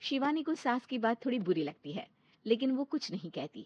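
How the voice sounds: A woman's fairly high voice moves in big pitch swings at a moderate pace, with a dry, close sound and no echo.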